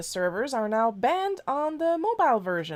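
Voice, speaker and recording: A woman speaks in a French Canadian accent at a moderate pace. Her pitch swings very widely. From Quebec. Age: 30s. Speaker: streamer and comic artist. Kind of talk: casual live stream chat. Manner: animated.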